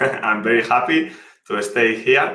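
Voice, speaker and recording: Audible room echo surrounds a man speaking at a medium pitch in a Spanish accent. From Spain, Malaga (Andalusia). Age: 30s. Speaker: professional poker player. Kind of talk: interview.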